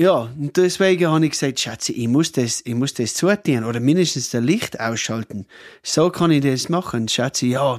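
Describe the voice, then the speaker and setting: A man with an Australian accent speaks at a moderate pace, with fairly high pitch and lively intonation. The recording is very clean and silent in the background, with a dry, close sound and no echo. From rural Australia (Cooma). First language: English (speaking German). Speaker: hotel owner. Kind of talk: casual chat.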